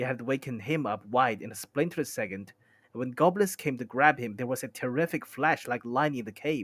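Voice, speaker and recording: A man speaks at a fairly quick pace in a medium pitch with ordinary pitch variation, an unremarkable speaking voice. The sound is dry and close with no echo, on a very clean recording with a silent background. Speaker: streamer. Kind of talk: novel reading aloud.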